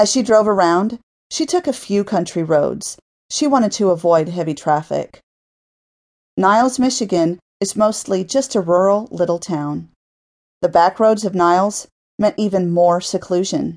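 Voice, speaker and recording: Here is a woman with an unremarkable speaking voice at a medium pitch and a moderate pace. Her pitch varies in an ordinary way against a quiet background. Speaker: audiobook narrator. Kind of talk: dramatic audiobook narration of a violent fiction story, read aloud.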